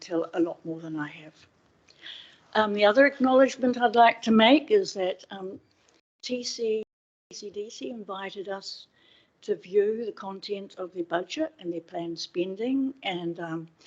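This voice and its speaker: Using lively intonation and big swings in loudness, a woman with a New Zealand accent speaks at a fairly high pitch. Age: 60s. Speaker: public submitter at council hearing. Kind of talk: public submission. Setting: council meeting room. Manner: slightly slurred speech from dental plates.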